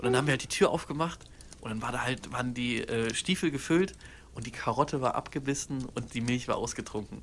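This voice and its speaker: The pace is fairly quick, and the pitch varies in an ordinary way. It is an ordinary speaking voice. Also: man. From Germany, Cologne. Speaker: podcast co-host. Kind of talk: casual chat.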